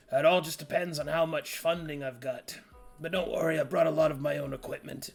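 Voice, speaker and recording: In a put-on character voice, a man speaks raspy and fairly high-pitched at a fairly quick pace, with faint music in the background. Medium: actual play. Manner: casual, hesitant, lots of filler.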